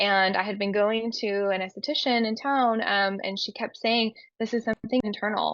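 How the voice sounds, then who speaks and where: Fairly high in pitch, the woman speaks at a moderate pace with fairly even intonation. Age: 30s. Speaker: endometriosis patient. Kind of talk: testimony. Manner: hesitant, many fillers.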